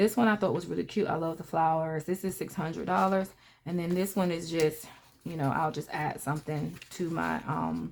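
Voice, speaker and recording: A woman with an American accent has an unremarkable speaking voice and a fairly low pitch. She talks at a moderate pace on a very clean recording with a silent background. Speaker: personal finance vlogger. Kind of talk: casual vlog talk.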